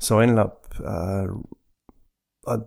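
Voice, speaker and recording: A man speaks with an Australian accent. The recording is very clean, with a silent background. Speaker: software designer. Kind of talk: casual interview. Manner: halting, repeats words.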